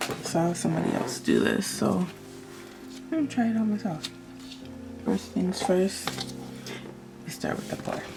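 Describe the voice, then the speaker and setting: A woman's voice with long, frequent pauses and music in the background. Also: moderate pace. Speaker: resin crafter. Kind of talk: tutorial. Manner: hesitant.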